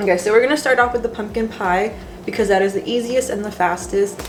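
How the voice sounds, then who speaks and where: Speaking very fast over noticeable background noise, a woman with medium pitch keeps her intonation fairly even. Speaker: vlogger. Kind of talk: casual cooking vlog. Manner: chatty, casual with fillers.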